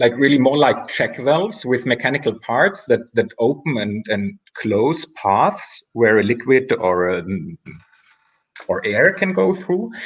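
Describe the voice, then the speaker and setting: At a fairly slow pace, a man with a non-native accent talks at medium pitch with very wide pitch swings. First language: not English. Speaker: artist. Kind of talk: casual interview chat. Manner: halting, with repetitions and fillers.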